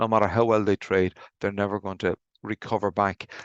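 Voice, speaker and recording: Speaking very fast in an Irish accent, a man keeps a fairly low pitch and monotone, flat intonation, with a dry, close sound, no echo and a quiet background. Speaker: insolvency practitioner. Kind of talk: webinar presentation. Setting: video call. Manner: halting, with repetitions.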